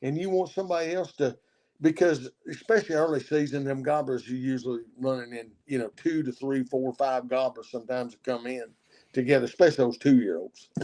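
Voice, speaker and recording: A man talks at a fairly quick pace in a dark, mellow tone. His pitch is medium, with ordinary variation. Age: 60s. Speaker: turkey hunter. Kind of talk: casual chat. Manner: halting, repeats words.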